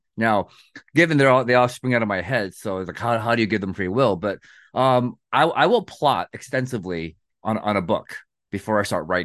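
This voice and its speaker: An unremarkable speaking voice with lively intonation at a fairly quick pace, over a quiet background. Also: man, medium pitch for a man. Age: 40s. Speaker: fantasy author. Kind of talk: interview.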